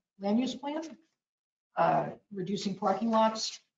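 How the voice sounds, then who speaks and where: Here is a woman speaking with an American accent at a fairly slow pace. Her voice is somewhat breathy. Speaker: planning board member. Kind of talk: public meeting discussion.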